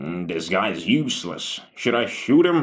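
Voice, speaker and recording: This put-on character voice makes very wide pitch swings. The pace is fairly slow. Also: man. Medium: read story. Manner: crude, blunt.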